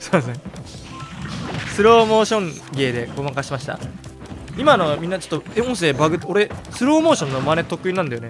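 Over background music, a man with a high voice talks at a very fast pace, his pitch swinging very widely and his loudness shifting sharply, broken by long, frequent pauses. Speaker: game commentator. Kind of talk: gameplay commentary. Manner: whispered.

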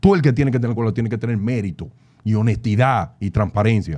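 Against a quiet background, a man with a Dominican accent speaks very fast in a dark, mellow tone at a medium pitch. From Dominican Republic. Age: young. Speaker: data analyst. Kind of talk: interview conversation. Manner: animated. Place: studio. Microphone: studio mic.

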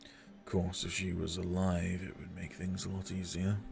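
Over clear background noise, a man does a put-on character voice at a moderate pace. The voice is very deep, low and gravelly. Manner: grave, analytical.

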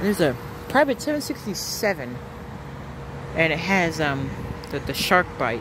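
Amid noticeable background noise, a man speaks at a very slow pace with ordinary pitch variation in a dry sound with no echo. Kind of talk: casual commentary. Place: open country. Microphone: phone near.

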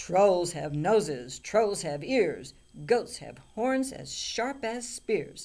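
In a put-on character voice, the speaker growls at a fairly high pitch and a very slow pace. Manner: growling, defiant.

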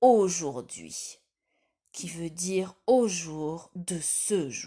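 The woman's voice has a warm, gentle tone. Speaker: storyteller. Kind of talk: bedtime story telling, a children's tale told aloud. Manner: addresses the listener directly as a child, warm and coaxing.

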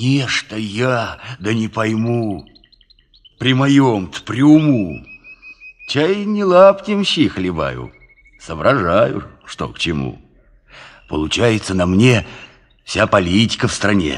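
At a fairly slow pace, a man speaks at medium pitch with very wide pitch swings. He leaves long, frequent pauses. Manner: simple-hearted, folksy.

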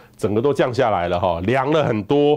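A man talks at a moderate pace in a Taiwanese accent. His intonation is lively over a quiet background. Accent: Taiwanese Mandarin. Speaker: meteorologist; presenter. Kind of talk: weather forecast. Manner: conversational, many filler particles. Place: studio. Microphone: lapel.

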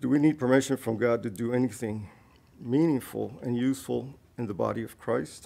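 A dark, mellow tone at a fairly quick pace, with ordinary pitch variation. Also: man. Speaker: church member sharing reflection. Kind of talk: testimony. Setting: church. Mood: earnest, grateful. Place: church. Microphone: podium.

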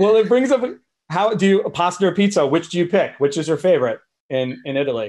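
Speaking very fast, a man with an American accent uses a high pitch. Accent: flat American. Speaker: panel moderator. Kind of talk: casual chat. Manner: animated. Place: home room. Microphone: video call.

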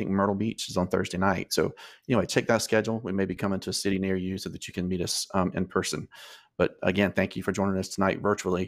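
Over a quiet background, a man talks very fast in a very deep, low voice with monotone, flat intonation. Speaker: school admissions host. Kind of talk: informational presentation. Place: home room.

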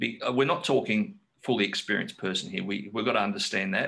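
Quick-paced and lively in intonation, a man with an Australian accent speaks in a bright, sharp tone with vocal fry. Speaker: forum moderator. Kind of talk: casual Q&A. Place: office. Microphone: webcam.

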